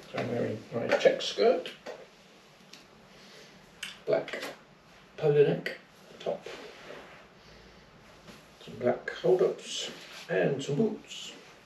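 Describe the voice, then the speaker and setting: A man speaks at a very slow pace with long, frequent pauses. There is audible room echo and light background noise. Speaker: vlogger. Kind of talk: casual vlog chat. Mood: cheerful, a bit shy. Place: home room. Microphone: phone near.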